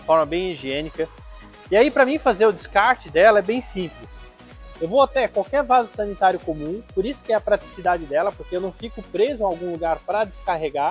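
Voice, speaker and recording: Faint music plays in the background as a man speaks at a fairly quick pace in a high pitch, the sound dry with no echo. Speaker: trailer salesman. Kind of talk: product demonstration. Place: garage. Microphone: lapel.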